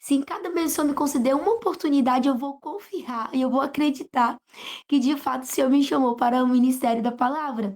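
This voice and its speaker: A woman's high-pitched voice in a northern Brazilian accent. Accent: non-local northern Brazilian. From northern Brazil (Pará), later Goiás. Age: young. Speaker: preacher. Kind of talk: interview testimony.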